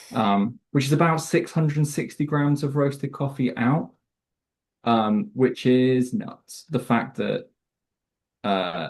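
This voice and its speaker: A man with a British accent speaks very slowly at a fairly high pitch, his intonation lively against a quiet background. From Southwest England. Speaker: coffee roaster sales manager. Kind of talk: casual interview chat.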